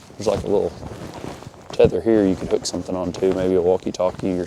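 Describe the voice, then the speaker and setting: A man with an American accent rattles along at a very fast pace while noticeable background noise plays behind him. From US South / Midwest. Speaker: hunting gear reviewer. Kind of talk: product review vlog. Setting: outdoors, walking. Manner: casual, halting with fillers.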